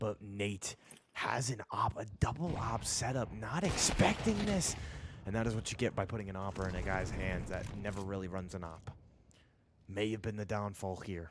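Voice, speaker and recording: A strained voice at a moderate pace. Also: man, fairly low pitch for a man, ordinary pitch variation. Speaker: esports caster. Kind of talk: live commentary. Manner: restrained volume.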